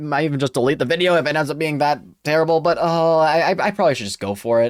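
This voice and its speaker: A man at a fairly high pitch and a very fast pace, ordinary pitch variation, on a very clean recording with a silent background. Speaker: YouTuber discussing anime. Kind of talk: casual vlog monologue. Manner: halting, repeats words.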